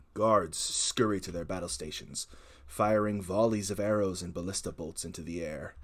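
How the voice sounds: What we hear is a natural reading voice.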